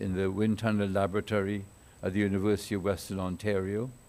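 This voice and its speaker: A man's fairly low, dark, mellow voice in audible room echo. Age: 80s+. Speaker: structural engineer. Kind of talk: conference talk. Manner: halting.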